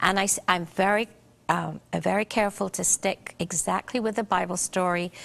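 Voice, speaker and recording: A woman speaks at a moderate pace with vocal fry and fairly even intonation, her dry, close sound free of echo over a quiet background. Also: medium pitch for a woman. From Barbados. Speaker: children's book author. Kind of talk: TV interview answer.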